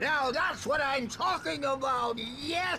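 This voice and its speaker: Over clear background noise, the speaker uses a put-on character voice at a fairly slow pace. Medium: video game. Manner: jovial, rambling.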